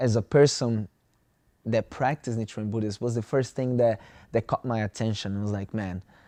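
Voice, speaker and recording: A man's medium-pitched voice with a dark, mellow tone in a Brazilian Portuguese accent, the sound dry and close with no echo against a quiet background. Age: 20s. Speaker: student. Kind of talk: interview. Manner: halting.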